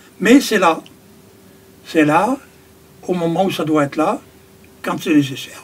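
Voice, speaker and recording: A high-pitched man at a fairly slow pace, lively in intonation, with long, frequent pauses and noticeable background noise. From France, Périgord. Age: 70s. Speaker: carpenter and spiritual community member. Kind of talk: interview. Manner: halting.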